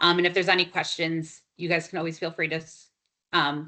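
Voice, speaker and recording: A woman talks at a fairly quick pace with a bright, sharp tone. The background is quiet. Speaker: director of housing lending nonprofit. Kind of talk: presentation on video call. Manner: fast.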